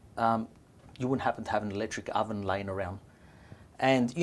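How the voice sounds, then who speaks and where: The speaker is a man with an Australian accent. His words come out very fast. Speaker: restaurant owner, pizza maker. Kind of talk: interview.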